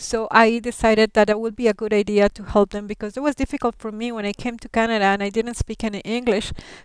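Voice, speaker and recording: Recorded very cleanly against a silent background, a woman with a Colombian accent speaks very fast with hardly any pauses, in a fairly high pitch with monotone, flat intonation and big swings in loudness. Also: dry, close sound with no echo. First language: Spanish. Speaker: settlement worker and interpreter. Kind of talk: class talk about her career. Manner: hesitant, many fillers.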